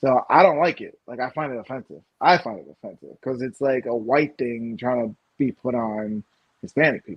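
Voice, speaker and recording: A man's ordinary speaking voice, medium in pitch, at a moderate pace, with ordinary pitch variation and big swings in loudness. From Puerto Rican American. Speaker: podcast co-host. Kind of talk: casual chat. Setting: live stream.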